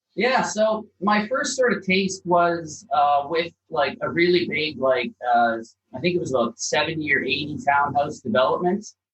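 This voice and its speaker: With a slight Canadian accent, a man talks at a high pitch and a moderate pace. His pitch swings very widely. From Canada (Calgary, Alberta). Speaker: property developer. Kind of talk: podcast interview.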